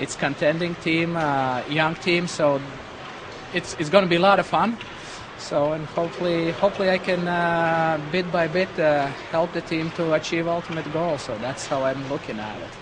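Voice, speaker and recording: Over noticeable background noise, a man with a high pitch and a Latvian accent talks at a moderate pace with fairly even intonation. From Latvia, Riga. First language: Latvian or Russian. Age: 40s. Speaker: hockey goalie coach. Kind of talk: interview. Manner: halting, many fillers.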